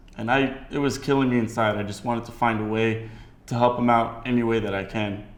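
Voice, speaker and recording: In an American accent, a man speaks at a moderate pace with audible room echo. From United States. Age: 20s. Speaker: entrepreneur. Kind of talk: documentary interview.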